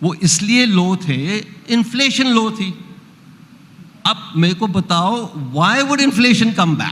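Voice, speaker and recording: A man talks very slowly at a high pitch with lively intonation and long, frequent pauses, over noticeable background noise. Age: 70s. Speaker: economist. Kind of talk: panel discussion.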